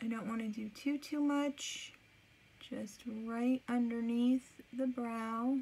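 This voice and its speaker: Very slowly and with long, frequent pauses, a woman speaks in a high voice with a dark, mellow tone and flat, monotone intonation. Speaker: makeup tutorial vlogger. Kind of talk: makeup tutorial, casual chat. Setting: alone at home. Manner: talking quietly.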